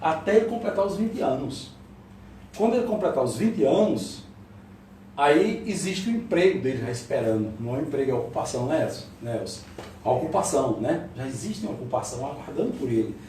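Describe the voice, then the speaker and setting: A man talks at a fairly quick pace and a fairly high pitch with very wide pitch swings. Noticeable background noise and audible room echo are present. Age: 60s. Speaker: lecturer. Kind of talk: lecture.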